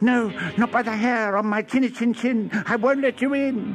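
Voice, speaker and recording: Using a put-on character voice, a man speaks at an extremely high pitch. His pace is moderate, and background noise is clear. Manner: defiant.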